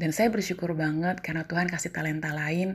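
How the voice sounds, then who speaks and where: A woman speaks with a very deep, low pitch and a somewhat breathy voice in a monotone, flat intonation. The recording is very clean with a silent background. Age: 30s. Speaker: civil servant. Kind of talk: personal storytelling monologue.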